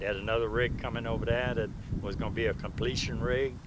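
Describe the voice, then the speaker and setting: A medium-pitched man talks at a fairly quick pace. His intonation is flat and monotone, and the room echo is audible. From Louisiana, Plaquemines Parish. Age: 70s. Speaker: retired oil field roughneck and welder. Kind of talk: interview. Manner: halting, repeating words.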